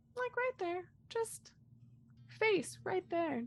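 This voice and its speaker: In a put-on character voice, a woman pushes her pitch extremely high. Her pitch swings very widely. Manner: spooky.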